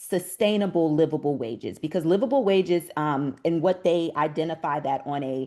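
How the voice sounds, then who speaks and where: This woman has a plain, everyday voice with a fairly low pitch. She talks at a moderate pace with ordinary pitch variation. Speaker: doula advocate. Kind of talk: panel discussion.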